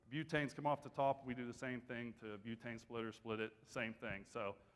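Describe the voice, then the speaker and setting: With an Appalachian accent, a man speaks at a moderate pace and medium pitch. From West Virginia. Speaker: energy company business development director. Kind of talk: conference presentation. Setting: stage with audience.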